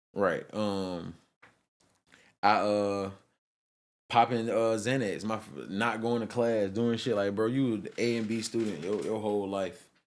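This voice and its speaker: With a Georgia accent, a man with a fairly low pitch talks at a fairly slow pace with fairly even intonation and long, frequent pauses, in a very clean recording with a silent background. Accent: Southern US, Georgia. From Albany, Georgia. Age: 20s. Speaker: artist. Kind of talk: podcast interview answer.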